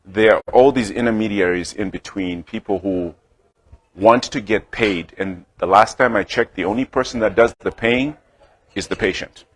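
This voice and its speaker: With a Zimbabwean accent, a man of fairly low pitch talks at a moderate pace with ordinary pitch variation and a dry, close sound with no echo. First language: Shona. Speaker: healthcare startup founder and clinician. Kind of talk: business presentation. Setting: talk to a club audience at a restaurant.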